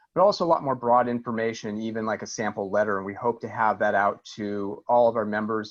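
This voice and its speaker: Against a quiet background, a man with a medium pitch talks at a fairly quick pace with fairly even intonation. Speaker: air district staff presenter. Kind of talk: public meeting presentation. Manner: fast.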